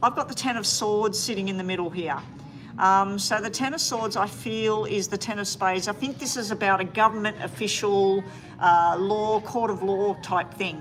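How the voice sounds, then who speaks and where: A woman with an Australian accent speaks at a medium pitch. Her pace is moderate, with ordinary pitch variation. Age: 60s. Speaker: tarot reader. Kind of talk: live-stream tarot reading. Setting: live stream.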